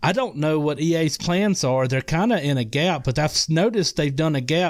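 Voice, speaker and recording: On a very clean recording with a silent background, a man with a Mississippi accent speaks at a moderate pace in a fairly high pitch, with ordinary pitch variation. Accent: Southern US (Mississippi). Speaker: podcast guest, gamer. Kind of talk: casual chat.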